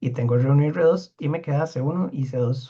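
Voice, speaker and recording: A dark, mellow tone comes with a slightly breathy quality. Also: man. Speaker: university lecturer. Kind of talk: lecture. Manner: fast.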